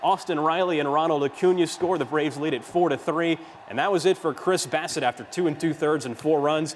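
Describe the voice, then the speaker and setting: A man's unremarkable speaking voice, fairly high in pitch, with fairly even intonation at a fairly quick pace. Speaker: sports broadcaster. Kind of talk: studio sports news anchoring.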